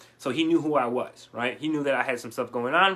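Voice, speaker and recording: Here a man talks in a fairly high pitch with a bright, sharp tone. He sounds animated. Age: 30s. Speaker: online business coach. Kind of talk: live stream coaching session. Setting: Facebook live video. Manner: fast.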